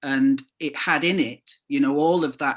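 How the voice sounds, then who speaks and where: Speaking at a very slow pace, a man with a slight northern English accent keeps his intonation fairly even against a quiet background. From northern England (Calder Valley, Todmorden area). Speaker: author. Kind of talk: book launch talk. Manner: halting, many fillers and repetitions.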